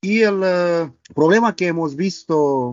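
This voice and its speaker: In a Romanian accent, a man speaks very slowly at a high pitch. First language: Romanian (speaking Spanish). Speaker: robotics professor and company co-founder. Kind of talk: casual interview. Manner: halting, many fillers.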